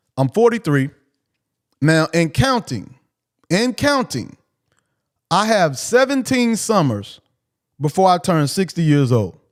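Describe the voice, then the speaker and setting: Speaking at a fairly slow pace, a man with a high pitch makes very wide pitch swings while keeping his loudness very even. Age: 40s. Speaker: livestream host. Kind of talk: casual monologue. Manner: repetitive.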